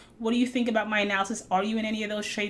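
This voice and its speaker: A woman at a very fast pace over noticeable background noise. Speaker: stock trading educator. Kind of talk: market analysis video recap. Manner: casual, with fillers.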